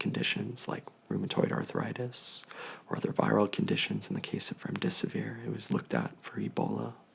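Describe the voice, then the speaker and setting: A man at a fairly quick pace, in a calm, gentle tone, with noticeable background noise. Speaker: infectious disease physician. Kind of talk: ASMR telehealth consultation, educational. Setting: video telehealth call. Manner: calm, gentle, soft-spoken.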